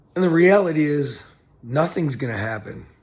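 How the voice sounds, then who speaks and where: There is audible room echo as a man speaks at a moderate pace, somewhat breathy, with lively intonation. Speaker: motivational vlogger. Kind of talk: motivational talk. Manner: halting.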